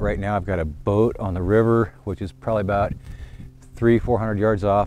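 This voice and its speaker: Recorded dry with no echo, a man with a fairly low voice speaks at a moderate pace amid noticeable background noise. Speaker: rv diy channel host. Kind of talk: casual vlog chat. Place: open country. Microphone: lapel.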